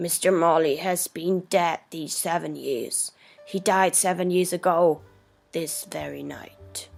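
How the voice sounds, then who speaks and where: A woman's put-on character voice, gruff and raspy, fairly low in pitch and fairly slow in pace, with faint music in the background. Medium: read story. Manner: gruff, scornful.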